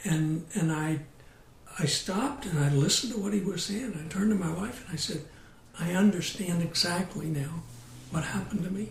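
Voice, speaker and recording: Audible room echo surrounds the voice. A high-pitched man talks at a fairly quick pace. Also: ordinary pitch variation. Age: 60s. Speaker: abuse survivor and nonprofit director. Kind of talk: interview testimony.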